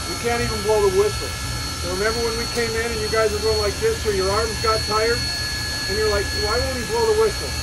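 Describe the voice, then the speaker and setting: Amid loud background noise, a man talks at a fairly quick pace. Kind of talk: explaining to children. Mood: friendly, patient. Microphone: phone near.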